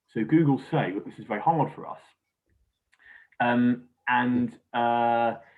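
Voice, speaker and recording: A man with a British accent speaks at medium pitch and a fairly slow pace. His delivery has long, frequent pauses and big swings in loudness. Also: fairly even intonation. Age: young. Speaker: crime agency official. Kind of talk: interview. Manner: hesitant, many fillers.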